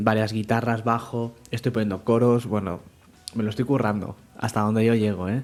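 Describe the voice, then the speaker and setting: A man's voice at medium pitch. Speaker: programming podcast host; parent of young children. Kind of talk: casual podcast monologue. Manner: trying to project voice more.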